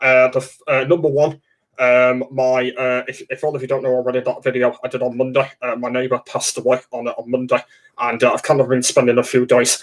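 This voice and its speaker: In an English accent, a man speaks at a fairly quick pace with medium pitch and fairly even intonation. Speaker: livestreamer. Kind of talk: casual livestream chat. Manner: halting, many fillers.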